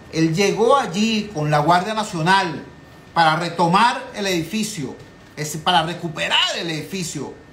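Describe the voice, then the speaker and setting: The tone is animated, in a Venezuelan accent, at a fairly slow pace with ordinary pitch variation and long, frequent pauses. Noticeable background noise and audible room echo fill the recording. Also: man. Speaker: political talk show host. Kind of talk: political commentary.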